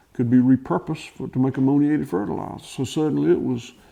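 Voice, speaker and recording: Recorded against a quiet background, a man talks with a Southern US accent. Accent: Southern US (Georgia). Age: 60s. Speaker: farmer. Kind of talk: interview. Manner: halting, many fillers and restarts.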